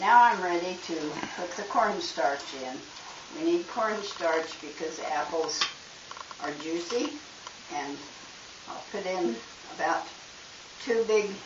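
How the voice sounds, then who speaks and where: Speaking at a very slow pace, a woman leaves long, frequent pauses, all over noticeable background noise. Her pitch is fairly low and her intonation lively. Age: 80s+. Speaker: ranch wife, home baker. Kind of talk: cooking demonstration.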